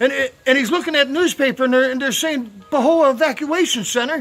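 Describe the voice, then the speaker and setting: A man speaks loudly at a fairly quick pace in an extremely high pitch. His pitch variation is ordinary. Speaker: volunteer barber and video blogger. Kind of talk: casual storytelling. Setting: outdoors. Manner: halting, many fillers.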